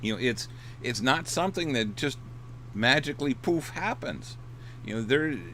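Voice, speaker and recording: A man speaks at a moderate pace with a medium pitch, vocal fry and a bright, sharp tone, his pitch varying in an ordinary way and his speech broken by long, frequent pauses. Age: 60s. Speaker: dating coach and author. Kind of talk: casual livestream talk. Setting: in his RV. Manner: hesitant, many repeated words and fillers.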